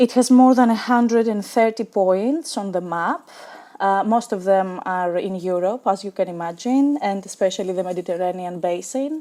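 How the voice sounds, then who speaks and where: A woman with a dark, mellow tone and medium pitch, ordinary pitch variation, at a moderate pace. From Greece. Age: 30s. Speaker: pagan devotee. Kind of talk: video presentation.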